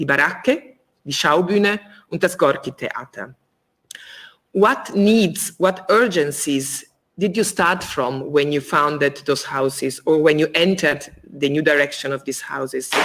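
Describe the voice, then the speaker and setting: At a fairly slow pace, a woman talks in a very deep, low pitch. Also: ordinary pitch variation. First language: not English (English is third language). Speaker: theater co-director interviewing guest. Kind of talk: interview, reading prepared questions. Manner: halting, many fillers.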